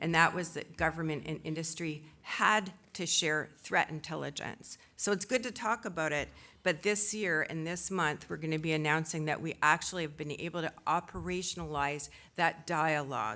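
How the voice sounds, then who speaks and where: A loud woman's voice of fairly low pitch, bright and sharp in tone, with ordinary pitch variation on a very clean recording against a silent background. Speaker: tech industry association executive, panel speaker. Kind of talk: conference speech. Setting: conference stage with audience. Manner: normally loud.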